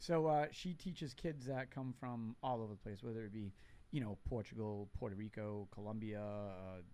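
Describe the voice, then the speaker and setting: Moderate pace and ordinary pitch variation from a man with a fairly low voice. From New Bedford, Massachusetts (Portuguese family). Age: 50s. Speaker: veteran charity volunteer. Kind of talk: casual chat. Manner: talkative.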